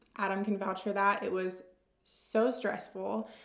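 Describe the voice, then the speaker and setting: Audible room echo surrounds a woman's voice. She talks at a fairly slow pace with monotone, flat intonation. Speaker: lifestyle vlogger. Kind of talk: casual Q&A chat. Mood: relaxed, candid. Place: home room.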